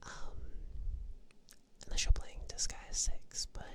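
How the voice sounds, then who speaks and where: A woman is whispering. Her tone is relaxed and gentle. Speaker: ASMR vtuber / streamer. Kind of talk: ASMR sleep talk about games. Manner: soft-spoken, relaxed, gentle.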